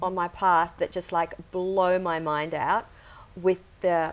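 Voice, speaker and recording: A woman with an ordinary speaking voice and a medium pitch speaks at a fairly slow pace. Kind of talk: podcast host intro.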